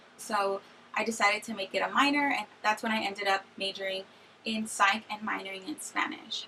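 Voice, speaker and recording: A woman speaks at a fairly high pitch and a moderate pace. Noticeable background noise runs behind her. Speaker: YouTuber, recent college graduate. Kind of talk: casual vlog Q&A.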